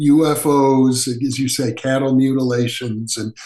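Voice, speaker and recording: A man with an American accent speaks at a very slow pace. His pitch is fairly high, and audible room echo surrounds his voice. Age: 70s. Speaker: parapsychologist. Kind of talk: interview.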